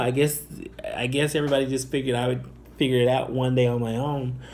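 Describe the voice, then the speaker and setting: Audible room echo surrounds a man with an American accent. His fairly high voice moves at a fairly quick pace. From Northwest Indiana / Chicago area, US Midwest. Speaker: YouTuber. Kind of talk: personal testimony. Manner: halting, many fillers.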